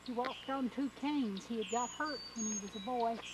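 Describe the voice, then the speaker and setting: A woman with an Appalachian accent speaks at a fairly high pitch with fairly even intonation. Noticeable background noise sits behind her voice. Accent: Appalachian Southern US. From US South, East Tennessee. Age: 60s. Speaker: grandmother recalling childhood. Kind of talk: casual reminiscing on a walk. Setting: outdoors, walking.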